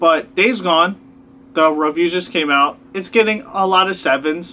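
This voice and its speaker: A man speaks at a high pitch with a bright, sharp tone. His pace is fairly slow and his pitch varies an ordinary amount. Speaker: video blogger. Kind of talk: rant. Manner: exasperated, argumentative. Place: home room. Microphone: camera far.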